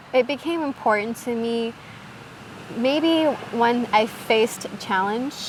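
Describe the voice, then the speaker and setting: A woman with an American accent speaks at a very slow pace, leaving long, frequent pauses. Her ordinary pitch variation comes through noticeable background noise. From US Midwest, Michigan. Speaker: podcast guest. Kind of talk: casual interview chat.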